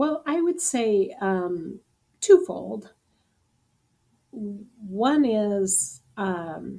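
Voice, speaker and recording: The voice has a dark, mellow tone and very wide pitch swings, moving at a very slow pace with long, frequent pauses. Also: woman, medium pitch for a woman. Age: 60s. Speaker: business owner and post-exit advisor. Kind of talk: podcast interview.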